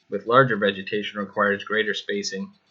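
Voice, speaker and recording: A man speaks at a moderate pace with a bright, sharp tone. His pitch sits fairly low. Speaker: class instructor. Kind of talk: class presentation.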